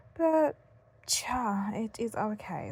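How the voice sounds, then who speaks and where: A woman speaks with a British accent. Her voice is somewhat breathy. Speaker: content creator reviewing devices. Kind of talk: casual vlog talk. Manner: fed up, unenthusiastic.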